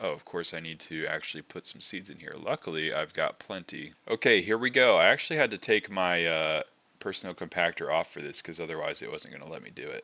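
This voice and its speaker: A man races along at a very fast pace with hardly any pauses. His loudness swings widely. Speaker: gaming youtuber. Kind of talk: gameplay commentary. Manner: casual, conversational.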